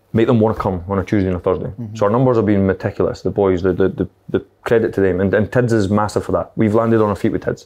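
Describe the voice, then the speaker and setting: A man's fairly low, dark and mellow voice, very fast, with fairly even intonation. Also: quiet background. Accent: Scottish. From Scotland. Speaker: football manager; guest. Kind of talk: casual chat. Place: meeting room.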